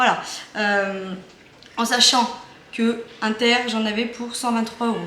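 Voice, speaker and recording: A woman speaks at a very slow pace with a fairly high pitch and monotone, flat intonation. Audible room echo and noticeable background noise are present. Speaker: family vlogger. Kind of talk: casual vlog talk. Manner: hesitant, many fillers.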